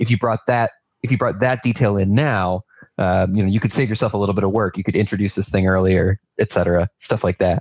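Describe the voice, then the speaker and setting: An ordinary speaking voice moves at a fairly quick pace with very even loudness and fairly even intonation. The sound is dry and close, with no echo. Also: man, fairly low pitch for a man. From New York. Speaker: game narrative writer. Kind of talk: casual interview.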